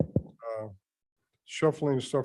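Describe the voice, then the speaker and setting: A man is talking. The tone of his voice is dark and mellow. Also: quiet background. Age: 70s. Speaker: member of the public giving comment. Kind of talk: public comment at council meeting. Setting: county commission chambers. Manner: halting, many fillers.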